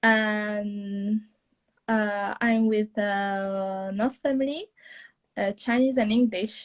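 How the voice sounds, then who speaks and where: A woman in an Italian accent talks at a very slow pace and a fairly high pitch, with fairly even intonation and very even loudness. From Italy. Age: young. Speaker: au pair. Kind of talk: live interview. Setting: Instagram live video call. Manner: halting.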